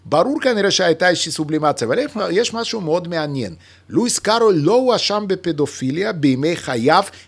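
A man's high-pitched, bright, sharp voice at a moderate pace, with very wide pitch swings. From Lithuania. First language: Yiddish (speaking Hebrew). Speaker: mathematician and author. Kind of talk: casual chat.

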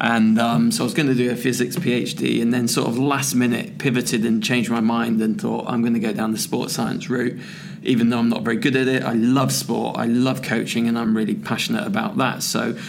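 A man with an English accent talks at a fairly quick pace and a very even loudness, with noticeable background noise and audible room echo. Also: medium pitch for a man, ordinary pitch variation, hardly any pauses. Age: 40s. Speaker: strength and conditioning coach. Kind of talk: casual chat. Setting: conference venue.

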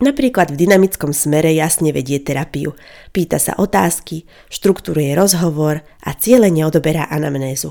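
This woman's voice sits very deep and low, moving at a moderate pace with ordinary pitch variation. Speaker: psychology podcaster and counsellor. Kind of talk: educational monologue. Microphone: good quality microphone.

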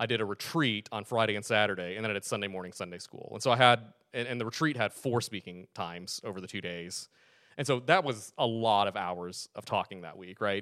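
A man talks at a fairly quick pace in an ordinary speaking voice with a fairly low pitch. The sound is dry and close with no echo, on a very clean recording with a silent background. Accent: American. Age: 30s. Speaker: communication lecturer and consultant. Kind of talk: casual interview.

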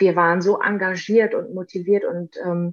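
Very slowly, a woman speaks in a fairly low pitch with ordinary pitch variation. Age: 30s. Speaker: deputy press spokesperson. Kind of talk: interview.

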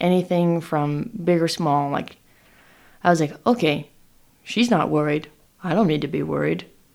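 On a very clean recording with a silent background, a woman with a West Coast accent and a very deep, low pitch talks at a moderate pace with long, frequent pauses. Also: ordinary pitch variation. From Oregon, Willamette Valley. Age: 20s. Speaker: hop farmer and operations manager. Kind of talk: interview.

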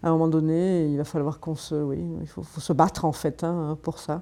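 Dark, mellow female tones, the recording very clean and the background silent. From southern France, Marseille. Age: 50s. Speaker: feminist activist. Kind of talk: interview. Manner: halting, frequent repetitions.

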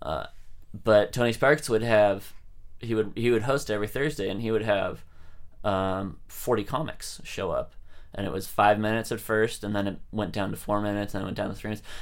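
With a plain, everyday voice and an American accent, a man speaks at a fairly quick pace in a fairly low pitch with ordinary pitch variation. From San Francisco Bay Area, California. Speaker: stand-up comedian. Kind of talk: casual interview chat.

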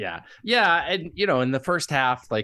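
Lively intonation runs through this man's bright, sharp voice. The background is quiet. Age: 50s. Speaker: podcast contributor, sports fan. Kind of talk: casual sports chat. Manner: halting with repeated starts.

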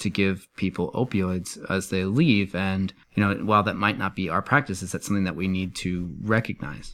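A man speaks in a plain, everyday voice at a fairly low pitch and moderate pace. His pitch variation is ordinary, and the recording is very clean with a silent background. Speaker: podcast host, medical professional. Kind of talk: casual banter podcast with some journal review.

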